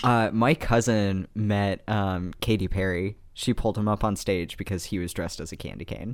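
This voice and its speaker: At a moderate pace and with hardly any pauses, a man talks in a fairly low pitch with fairly even intonation, on a very clean recording with a silent background. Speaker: podcast co-host. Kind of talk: casual chat.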